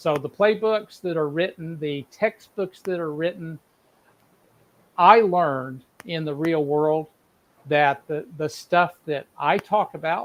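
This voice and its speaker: A man speaks at a very slow pace with an American accent. His pitch varies in an ordinary way. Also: fairly high pitch for a man. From United States. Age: 60s. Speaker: business consultant and speaker. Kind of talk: interview. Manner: halting.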